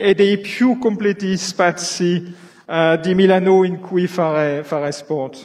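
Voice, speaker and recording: With a non-native accent, a man talks at a very slow pace in a high pitch. Noticeable background noise can be heard. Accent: non-native Italian. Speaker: company executive. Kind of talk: prepared speech from notes. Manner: halting, many fillers.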